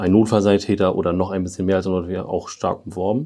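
Intonation remains fairly even throughout. The voice has a dark, mellow tone. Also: man. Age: 20s. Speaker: airport firefighter. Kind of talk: interview. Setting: on-site tour of fire station.

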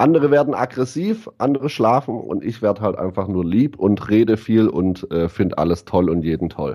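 A man speaks at a moderate pace with hardly any pauses and a fairly low pitch. His tone is dark and mellow, with lively intonation. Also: very clean recording, silent background. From southwest Germany, Ditzingen near Stuttgart. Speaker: DJ. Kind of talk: casual chat.

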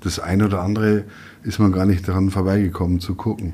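This man has a very deep, low pitch and a dark, mellow tone. He talks at a very fast pace with fairly even intonation. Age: 50s. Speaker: newspaper editor. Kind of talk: casual chat.

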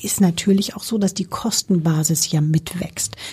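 A woman speaks at a moderate pace with ordinary pitch variation. She has a normal speaking voice. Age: 50s. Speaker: company CEO. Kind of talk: interview.

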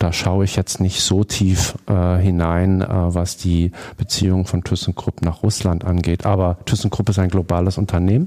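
The recording is very clean, with a silent background, and a man speaks at a moderate pace in a very deep, low pitch. His tone is dark and mellow, his loudness very even, and his intonation monotone and flat. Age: 50s. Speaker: foundation board member. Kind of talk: interview. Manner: hesitant, many filler sounds.

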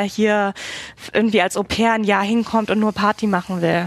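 This woman's intonation stays monotone and flat. Her pitch is medium. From Germany, Berlin. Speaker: emigrant interviewee. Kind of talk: casual interview. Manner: hesitant, many fillers.

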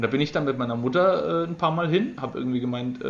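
Noticeable background noise runs under a man talking with fairly even intonation. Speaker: podcaster. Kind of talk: casual chat.

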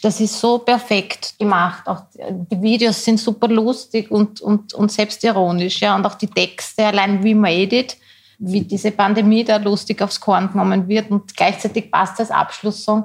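A woman's somewhat breathy, medium-pitched voice, monotone and flat, at a fairly slow pace with very even loudness and hardly any pauses. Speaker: podcast co-host. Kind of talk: casual chat. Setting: studio.

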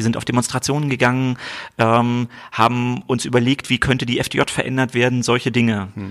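A man's plain, everyday voice at a medium pitch, with ordinary pitch variation and a moderate pace. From East Berlin. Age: 40s. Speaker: state government minister. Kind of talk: political interview. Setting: office.

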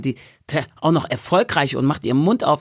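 The speech sounds animated. Nothing can be heard in the background of this very clean recording. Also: woman. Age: 40s. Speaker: stage coach and author. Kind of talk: casual chat.

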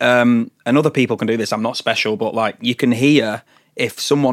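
A man with a Lancashire accent, medium pitch and fairly even intonation, at a fairly quick pace, in a dry, close sound with no echo. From northern England, Blackpool. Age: 20s. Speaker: singer-songwriter. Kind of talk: casual chat. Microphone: Shure SM7 studio mic.

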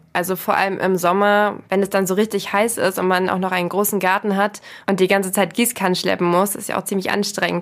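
Using a normal speaking voice, a woman at a medium pitch moves along at a fairly quick pace. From rural Germany. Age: 20s. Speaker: podcast host. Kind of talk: casual interview.

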